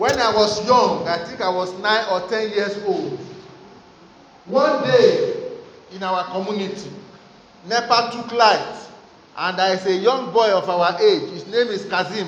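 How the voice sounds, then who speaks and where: A man with a high-pitched voice speaks at a fairly slow pace, with ordinary pitch variation, long and frequent pauses, and noticeable background noise. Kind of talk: fervent prayer. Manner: loud, impassioned, urgent, with rising pitch and repeated Amens and Hallelujahs; commanding, declarative, preacher-like.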